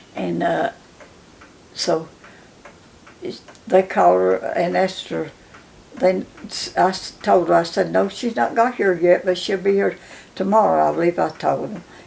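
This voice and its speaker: Amid noticeable background noise, a woman with a Southern Appalachian accent talks at a moderate pace with long, frequent pauses. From western North Carolina mountains, Cherokee County. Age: 90s. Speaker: elder interviewee. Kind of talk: oral history interview. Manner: halting.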